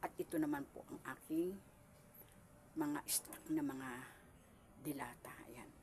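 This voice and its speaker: Speaking at a very slow pace, a woman takes long, frequent pauses, and her loudness swings widely. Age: 70s. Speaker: small store owner vlogger. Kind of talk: casual home tour vlog. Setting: at home in her small store. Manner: polite, addressing viewers directly.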